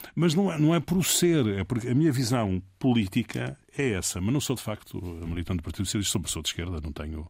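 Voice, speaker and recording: Speaking at a very fast pace, a man with a fairly low, somewhat breathy voice makes very wide pitch swings in a very clean recording with a silent background. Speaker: political communication consultant. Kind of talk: interview. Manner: halting.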